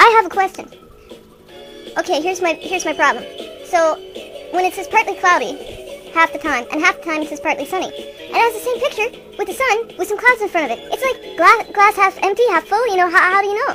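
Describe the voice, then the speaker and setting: Over clear music in the background, a woman rattles along at a very fast pace in a put-on character voice. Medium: comedy sketch. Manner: hesitant, stammering.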